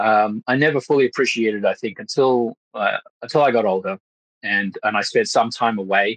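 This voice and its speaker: A man with an Australian accent, dry and close-miked with no echo. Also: medium pitch for a man, ordinary pitch variation, fairly quick pace. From Australia, Western Sydney / Blue Mountains. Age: 30s. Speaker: actor and Freemason. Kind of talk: podcast interview. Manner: halting, many fillers.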